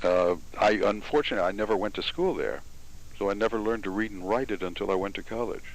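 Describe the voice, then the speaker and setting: This man speaks at a very fast pace with an American accent. His intonation stays fairly even. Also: fairly low pitch for a man. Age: 60s. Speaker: interviewer. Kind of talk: interview.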